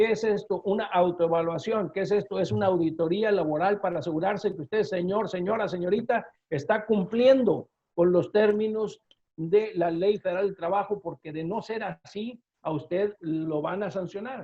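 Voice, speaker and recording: High in pitch, a man's voice shows ordinary pitch variation. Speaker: labor lawyer. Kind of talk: webinar presentation. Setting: online webinar. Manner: fast.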